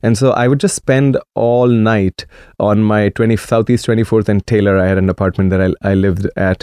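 Speaking at a moderate pace with a Marathi accent, a man uses a fairly low pitch, fairly even intonation and very even loudness, his tone dark and mellow in a dry, close sound with no echo over a quiet background. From India, Maharashtra. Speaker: DJ and dance event promoter. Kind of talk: radio interview. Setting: radio studio.

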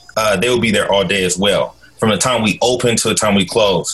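Background noise is noticeable here. Over it, a man speaks at a fairly quick pace. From US Pacific Northwest, Portland, Oregon. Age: 30s. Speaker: school social worker and nonprofit director. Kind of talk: casual interview chat.

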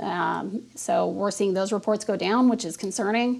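Moderate pace, vocal fry and ordinary pitch variation. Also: woman. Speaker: police detective. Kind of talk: recorded interview. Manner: hesitant, filler-laden, serious.

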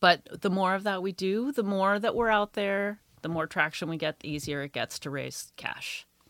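Using a normal speaking voice, a woman talks at a moderate pace and medium pitch with ordinary pitch variation, hardly any pauses, and a dry, close sound with no echo. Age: 50s. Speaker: tea company founder. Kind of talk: interview. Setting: studio.

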